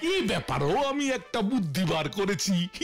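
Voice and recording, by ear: A man does a cartoonish character voice, high in pitch with very wide pitch swings. He keeps a moderate pace over clear background noise.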